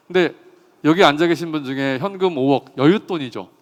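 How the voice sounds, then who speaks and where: Lively in intonation, a man talks in an ordinary speaking voice that sits fairly high. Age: 50s. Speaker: farmer and agricultural economist. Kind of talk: talk concert speech.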